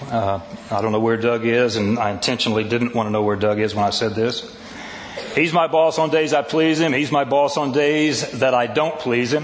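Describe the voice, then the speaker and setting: A man at medium pitch and moderate pace, animated in tone, with ordinary pitch variation, audible room echo and noticeable background noise. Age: 60s. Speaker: pastor. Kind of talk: sermon.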